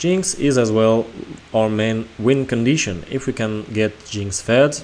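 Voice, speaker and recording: With a non-native accent, a man at a medium pitch talks at a fairly slow pace with ordinary pitch variation. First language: not English. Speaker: gaming video creator. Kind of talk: gameplay analysis commentary.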